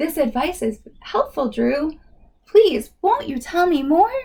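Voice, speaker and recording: A squeaky, put-on character voice speaks at a fairly slow pace. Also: woman, high pitch for a woman. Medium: read story. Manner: worried, fretful.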